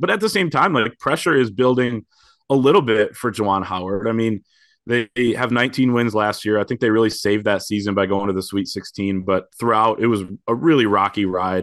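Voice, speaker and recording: A man's medium-pitched, ordinary speaking voice with an American accent, fairly quick pace and ordinary pitch variation, over a quiet background. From Michigan, Grand Rapids. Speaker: sports writer. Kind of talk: casual chat.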